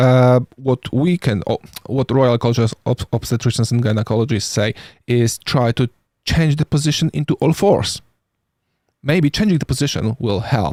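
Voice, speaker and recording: A man with a non-native accent speaks in a dark, mellow tone with ordinary pitch variation, and the sound is dry and close with no echo. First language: not English. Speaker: paramedic. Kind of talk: podcast discussion. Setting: live stream. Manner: halting.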